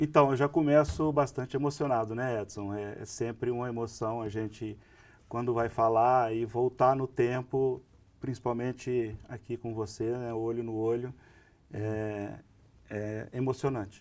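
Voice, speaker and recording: The speaker moves at a fairly slow pace with fairly even intonation. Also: man, medium pitch for a man. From interior of São Paulo state, Brazil. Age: 60s. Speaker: pharmacy association executive. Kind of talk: podcast interview.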